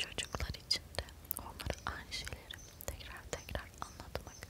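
Whispering, a woman goes at a fairly slow pace. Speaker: ASMR content creator. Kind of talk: whispered book reading for relaxation / sleep. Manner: whispered, soft, slow. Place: home room. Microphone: lapel.

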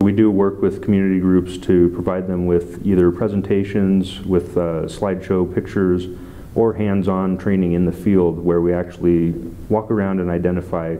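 A man with a very deep, low pitch, monotone, flat intonation and a moderate pace. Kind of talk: interview answer. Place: office.

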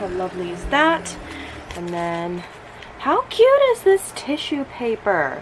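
There is light background noise. A woman is speaking. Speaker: vlogger. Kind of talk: casual vlog chat. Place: home room. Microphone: phone near.

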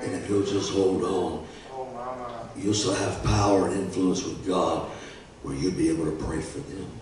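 A man's very deep, low voice with ordinary pitch variation, a moderate pace and long, frequent pauses, plus audible room echo and faint music in the background. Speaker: guest preacher. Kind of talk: sermon; impassioned sermon in full flow, rousing call-and-response. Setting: church. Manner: fervent, rising and emphatic, building to an exhortation. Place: church.

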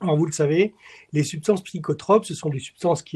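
Against a quiet background, a man speaks with a high pitch. His tone is dark and mellow, with ordinary pitch variation. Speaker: chemistry professor; webinar presenter. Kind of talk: lecture. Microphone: webcam.

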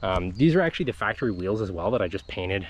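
A man speaks with a very deep, low pitch. Light background noise sits under a dry sound with no echo. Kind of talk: casual walkaround commentary. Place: open country. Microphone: phone near.

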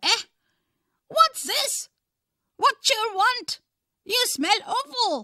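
An extremely high-pitched, whiny put-on character voice at a very slow pace, broken by long, frequent pauses. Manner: whining, complaining.

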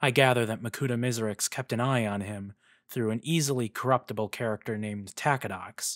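What we hear is a natural reading voice.

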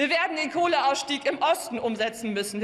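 A woman with a high pitch, speaking at a moderate pace. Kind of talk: parliamentary speech. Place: hall. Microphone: podium.

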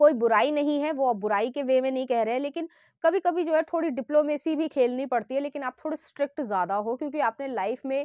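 A woman with a high pitch and lively intonation at a moderate pace, the sound dry and close with no echo against a quiet background. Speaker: tarot reader. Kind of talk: tarot card reading monologue.

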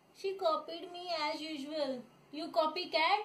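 A woman speaks at a very slow pace. Her pitch is extremely high. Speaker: vlogger sister. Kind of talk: casual talk to camera, playful sibling banter. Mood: playful, teasing, laughing. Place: home room. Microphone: phone near.

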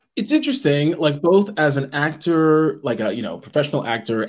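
Over a quiet background, a man talks at a very fast pace, his fairly high voice full of lively intonation. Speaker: voice actor. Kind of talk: casual panel chat. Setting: video call. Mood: amused, reflective. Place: home room.

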